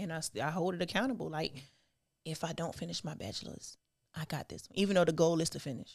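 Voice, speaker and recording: A woman with an American accent talks at a very fast pace in a fairly low pitch. Her voice shows vocal fry and ordinary pitch variation. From South Carolina, US South. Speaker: STEM student. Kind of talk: casual chat.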